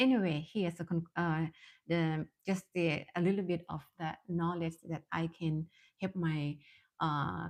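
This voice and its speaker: A woman's fairly low voice with a non-native accent, fairly slow and with fairly even intonation. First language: Thai. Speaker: mindfulness coach and therapist. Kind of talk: live-stream talk. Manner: halting, many fillers.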